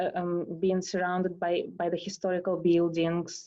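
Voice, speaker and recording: A woman speaks with a Russian accent at a fairly slow pace. Her pitch is fairly low. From Russia, Moscow. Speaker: tango dancer. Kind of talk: interview. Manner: halting.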